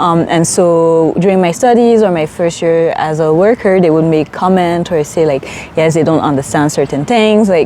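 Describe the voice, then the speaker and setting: A woman's fairly low voice with a Saint Martin accent, moderate pace, ordinary pitch variation and very even loudness, over noticeable background noise. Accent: Saint Martin Caribbean English. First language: French. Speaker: storyteller. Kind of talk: interview. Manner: hesitant with fillers.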